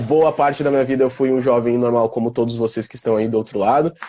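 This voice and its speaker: Using a normal speaking voice, a man talks fairly quickly at a medium pitch with fairly even intonation. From southern Brazil, Porto Alegre (Rio Grande do Sul). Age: 20s. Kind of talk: casual interview on a live stream.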